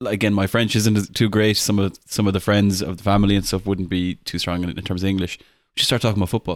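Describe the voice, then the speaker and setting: Someone with an Irish accent speaks at a very fast pace in a monotone, flat intonation, on a very clean recording with a silent background. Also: man. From Ireland. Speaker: podcast co-host. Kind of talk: casual chat.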